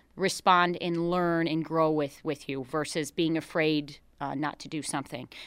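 The voice carries a Buffalo accent with ordinary pitch variation. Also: woman, very clean recording, silent background. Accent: Western New York (Buffalo area). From western New York, Niagara County. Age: 20s. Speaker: horse trainer and ranch owner. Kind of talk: radio interview. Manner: hesitant, many fillers.

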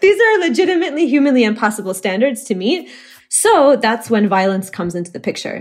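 A woman with an American accent, very fast, with very wide pitch swings. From Oklahoma. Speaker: activist and garment collective founder. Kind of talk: interview.

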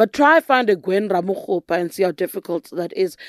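In a very clean recording with a silent background and a dry, close sound free of echo, a woman with a South African accent speaks at a fairly quick pace with lively intonation. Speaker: political journalist and podcast host. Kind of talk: interview. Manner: pressing, interrupts often.

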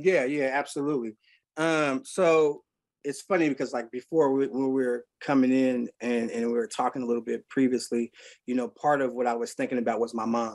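A man's medium-pitched voice with an American accent at a fairly quick pace. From Seattle, Central District. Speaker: recovering addict, music nonprofit director. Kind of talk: podcast interview, recovery testimony. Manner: animated.

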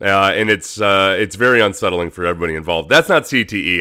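On a very clean recording with a silent background, a man with a very deep, low pitch and a bright, sharp tone talks at a fairly quick pace. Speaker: sports podcast host. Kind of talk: casual monologue.

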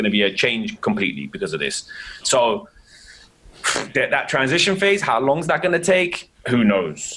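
A man with an English accent talks at a moderate pace. He takes long, frequent pauses over noticeable background noise. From England. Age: 30s. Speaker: dentist. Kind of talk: casual chat.

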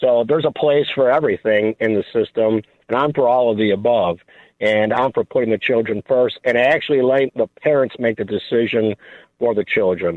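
A man with an American accent has a normal speaking voice at medium pitch, with ordinary pitch variation. He talks at a fairly quick pace with very even loudness. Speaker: caller. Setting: phone call.

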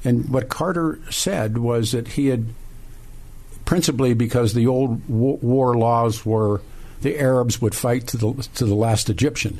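A man talks in a plain, everyday voice at a medium pitch and a fairly slow pace, with ordinary pitch variation and very even loudness. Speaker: talk radio host. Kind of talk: talk radio interview and call-in. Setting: radio studio.

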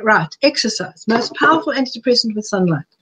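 A woman speaks in a fairly high, somewhat breathy voice with lively intonation. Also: dry, close sound with no echo. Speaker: health coach and author. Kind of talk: webinar presentation. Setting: live online webinar. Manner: fast.

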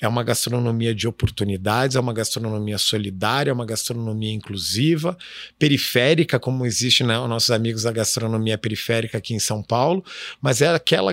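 A man talks in an ordinary speaking voice at medium pitch and a moderate pace. The sound is dry and close with no echo, on a very clean recording with a silent background. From southern Brazil, Curitiba. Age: 40s. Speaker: chef and social entrepreneur. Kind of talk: interview.

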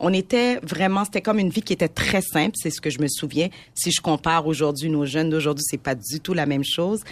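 In a plain, everyday voice, a woman speaks fairly quickly at a fairly low pitch with lively intonation. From Montreal, Quebec (Haitian parents). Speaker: entrepreneur. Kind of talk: casual chat.

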